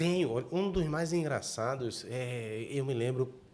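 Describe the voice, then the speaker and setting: Lively intonation marks this man's unremarkable speaking voice, set at a medium pitch. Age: 60s. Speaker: journalist, podcast host. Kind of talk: interview.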